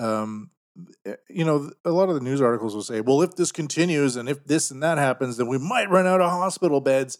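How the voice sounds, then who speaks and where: A man with a Canadian accent talks at a fairly quick pace in an ordinary speaking voice. His pitch is fairly high and his intonation is lively. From Canada. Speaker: podcast host. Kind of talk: casual banter podcast. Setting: studio.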